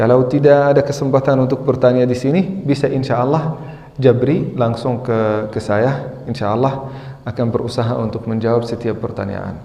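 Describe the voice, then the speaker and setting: With an Arabic accent, a man at a medium pitch talks at a moderate pace with fairly even intonation, over noticeable background noise and audible room echo. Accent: Arabic-accented Indonesian. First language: not Indonesian (speaking Indonesian). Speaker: Islamic teacher. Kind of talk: religious lecture. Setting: mosque with audience. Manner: halting.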